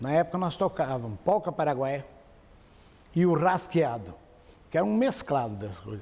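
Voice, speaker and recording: A man's fairly high voice with very wide pitch swings, a dark, mellow tone, moderate pace, and long, frequent pauses. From Campo Grande, Mato Grosso do Sul, Brazil. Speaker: radio broadcaster and folk singer. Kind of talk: interview answer. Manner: relaxed, conversational.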